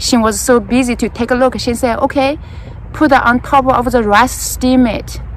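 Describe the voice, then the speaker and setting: A woman speaks with a Chinese accent at a moderate pace. Noticeable background noise sits behind her. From China, rural Jiangsu village. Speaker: gardening vlogger. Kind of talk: casual storytelling while gardening. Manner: halting, with fillers.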